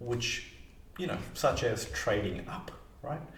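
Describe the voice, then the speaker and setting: Audible echo from the room hangs around this man as he talks. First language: not English. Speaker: mortgage broker and financial advisor. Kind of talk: explainer video to camera. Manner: casual, hesitant with fillers.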